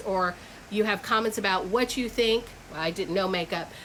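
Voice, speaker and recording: A woman talks at a very fast pace with ordinary pitch variation. Background noise is noticeable. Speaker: reseller vlogger. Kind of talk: casual vlog talk to camera. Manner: halting, many fillers.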